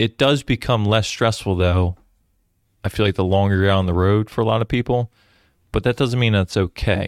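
A man with an ordinary speaking voice talks at a fairly quick pace and a fairly low pitch, with fairly even intonation and very even loudness, on a very clean, dry, close recording with no echo and a silent background. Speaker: podcast host and police detective. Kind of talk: casual chat. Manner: joking, conversational.

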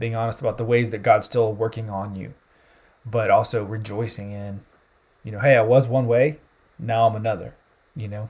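Speaking with a Southern US accent, the voice is somewhat breathy and monotone, with big swings in loudness and long, frequent pauses. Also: man, medium pitch for a man, moderate pace. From US South, South Carolina. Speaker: campus sports ministry leader. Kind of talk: casual interview.

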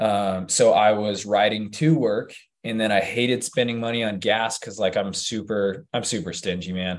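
In an American accent, a man with a normal speaking voice talks at a moderate pace, his fairly low pitch following a fairly even intonation. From Utah. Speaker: hybrid fitness athlete and coach. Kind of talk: casual chat.

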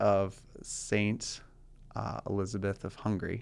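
An ordinary speaking voice from a man with an American accent, fairly low in pitch, on a very clean recording with a silent background. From US South, rural Georgia. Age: young. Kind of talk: casual interview chat.

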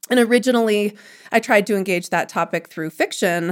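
On a very clean recording with a silent background, a woman with an American accent uses a normal speaking voice at a medium pitch with ordinary pitch variation. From US Midwest, Chicago suburbs. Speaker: author. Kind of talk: interview.

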